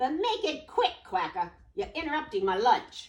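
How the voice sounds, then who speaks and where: A put-on character voice, high in pitch with very wide swings, at a moderate pace. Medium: read story. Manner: sneering tough-guy.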